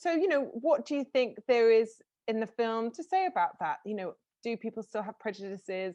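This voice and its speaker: In a southern English accent, a woman talks at a moderate pace with a fairly high pitch and very wide pitch swings. Her tone is dark and mellow, and the sound is dry and close with no echo. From southern England. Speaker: interviewer. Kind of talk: interview.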